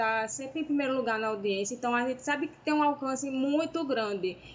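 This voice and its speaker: High-pitched female speech with ordinary pitch variation and a northeastern Brazilian accent, over noticeable background noise. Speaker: podcast co-host. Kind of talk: casual chat.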